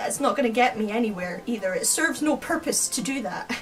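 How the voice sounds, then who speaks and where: With a Scottish accent, a woman speaks at a moderate pace and a high pitch. Music plays behind her. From Scotland. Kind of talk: casual talk to camera.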